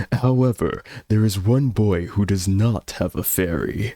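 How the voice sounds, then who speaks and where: Using a put-on character voice, a man speaks at a moderate pace with a fairly low pitch. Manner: wise, solemn.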